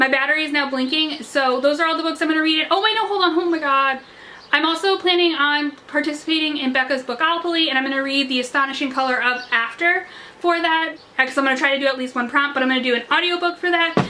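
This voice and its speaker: A woman with a high pitch, raised and projected, at a very fast pace amid noticeable background noise. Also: ordinary pitch variation. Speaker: book youtuber. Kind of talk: casual vlog talk. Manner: animated.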